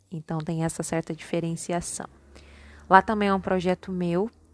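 A woman with a fairly low pitch and fairly even intonation speaks at a moderate pace, the sound dry and close with no echo on a very clean recording with a silent background. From Minas Gerais, Brazil (born in São Paulo). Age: 20s. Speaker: podcast host, psychology student. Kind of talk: casual solo monologue. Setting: at home, homemade recording.

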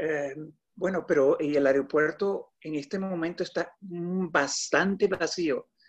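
A high-pitched male voice with ordinary pitch variation, against a quiet background. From Colombia. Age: 50s. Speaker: designer. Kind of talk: casual chat.

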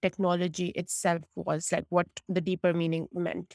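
The woman's fairly low voice comes across dry and close, with no echo. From Pakistan. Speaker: technology consultant. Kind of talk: interview.

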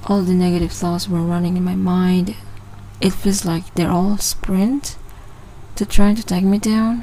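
A woman at medium pitch and fairly slow pace, fairly even in intonation, with noticeable background noise. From Sabah, Malaysia. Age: 20s. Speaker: podcast host. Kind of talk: casual monologue. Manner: casual, hesitant.

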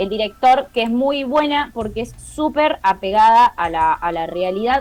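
With noticeable background noise, a woman speaks at a fairly high pitch with lively intonation. Her pace is fairly slow, yet she takes hardly any pauses. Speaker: podcast co-host. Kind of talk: casual chat.

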